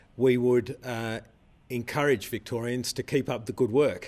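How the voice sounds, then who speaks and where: A man speaks with fairly even intonation. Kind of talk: public health briefing statement. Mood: calm, reassuring, measured. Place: studio.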